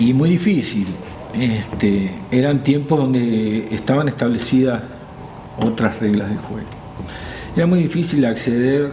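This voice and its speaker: A man with a Uruguayan accent at a medium pitch and ordinary pitch variation, amid audible room echo and noticeable background noise. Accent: Uruguayan Spanish (Rioplatense). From Uruguay, Santa Lucía. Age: 60s. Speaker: music teacher, former school principal. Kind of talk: interview. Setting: studio.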